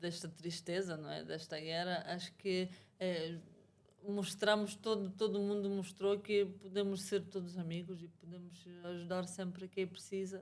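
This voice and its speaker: Her intonation is monotone and flat at a medium pitch. The woman speaks at a fairly slow pace. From Ukraine/Russia. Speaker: massage therapist, immigrant guest. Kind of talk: interview conversation. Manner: halting.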